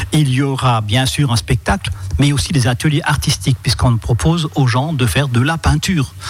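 Man at a medium pitch and moderate pace, lively intonation and very even loudness. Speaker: local councillor for culture, festival organizer. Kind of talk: radio interview. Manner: talkative, explanatory, a bit hesitant.

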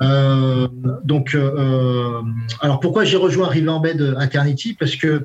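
Over noticeable background noise, a man speaks at a very slow pace with a fairly high pitch and ordinary pitch variation. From France, Brittany (Brest). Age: 40s. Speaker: sales director. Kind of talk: interview. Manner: halting, many repetitions and fillers.

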